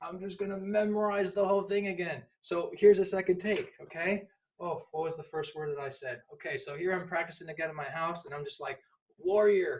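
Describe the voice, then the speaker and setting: Animated tone at a fairly quick pace, with big swings in loudness. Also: man, high pitch for a man. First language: not English. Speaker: public speaking instructor. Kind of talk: tutorial. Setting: at home.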